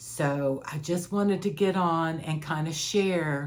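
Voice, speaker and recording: Very slow speech with fairly even intonation and audible room echo. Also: woman. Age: 60s. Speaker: life coach vlogger sharing personal experience. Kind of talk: personal testimony monologue. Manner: halting with repetitions.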